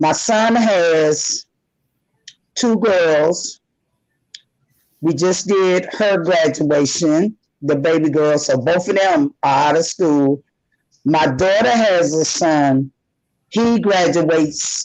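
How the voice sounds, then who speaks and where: A woman speaks very slowly in a fairly low pitch, leaving long, frequent pauses. Her intonation is lively while her loudness stays very even. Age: 60s. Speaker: recovered addict sharing her story. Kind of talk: podcast interview.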